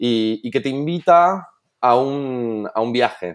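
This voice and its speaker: A man's medium-pitched voice rises and falls in a lively way on a very clean recording with a silent background. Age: 30s. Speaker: entrepreneur. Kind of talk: interview. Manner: halting.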